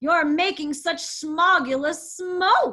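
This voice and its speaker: A woman's hoarse, croaky, put-on character voice at a very slow pace. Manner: indignant, scolding.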